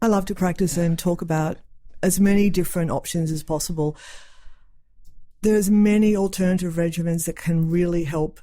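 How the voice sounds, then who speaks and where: With an Australian accent, a woman speaks in a fairly low, dark, mellow voice with fairly even intonation. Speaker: psychiatric nurse practitioner. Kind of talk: casual interview chat.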